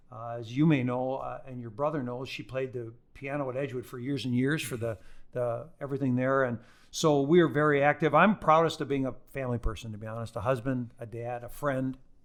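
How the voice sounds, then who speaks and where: A man with a normal speaking voice talks at medium pitch and a fairly quick pace, his intonation fairly even but his loudness swinging widely. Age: 60s. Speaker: lawyer and business school teacher. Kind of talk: podcast interview.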